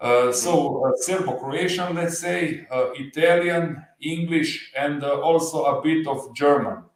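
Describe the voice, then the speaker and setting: Speaking at a very slow pace, this man has a fairly high pitch, ordinary pitch variation, and a slight Slovenian accent. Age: 40s. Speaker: motorcycle channel creator. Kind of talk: livestream interview. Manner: halting, many fillers.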